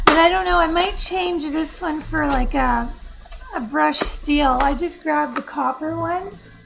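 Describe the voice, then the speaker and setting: In a room with audible echo and noticeable background noise, a woman with an extremely high pitch speaks at a fairly slow pace, her pitch varying in an ordinary way. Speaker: mosaic artist. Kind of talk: crafting tutorial. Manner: casual, rambling.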